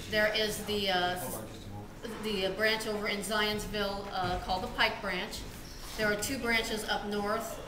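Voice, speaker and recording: In a monotone, flat intonation, a woman speaks at a fairly slow pace over noticeable background noise. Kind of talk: interview answer. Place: office.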